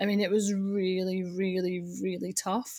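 A woman talks in a Scottish accent. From Scotland. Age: 30s. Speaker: data consultant. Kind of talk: interview. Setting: video call.

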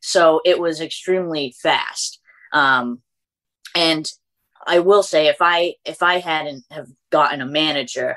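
A woman talks at a fairly slow pace with a Massachusetts accent and long, frequent pauses. Her very deep, low pitch carries fairly even intonation. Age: 20s. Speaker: beauty content creator. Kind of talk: casual interview chat.

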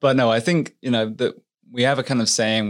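The speaker has an English accent and ordinary pitch variation. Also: man. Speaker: firefighter, paramedic and author. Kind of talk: interview conversation.

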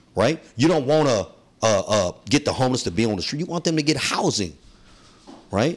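A man with a medium pitch and vocal fry talks at a fairly quick pace in an animated tone, his pitch swinging very widely between long, frequent pauses. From San Francisco, South of Market. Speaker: community activist, nonprofit founder. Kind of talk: interview.

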